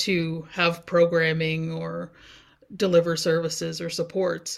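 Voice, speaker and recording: Someone speaks at a fairly slow pace in a Canadian Maritime accent. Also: woman. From New Brunswick, Canada (First Nations community). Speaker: community development instructor. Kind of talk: interview.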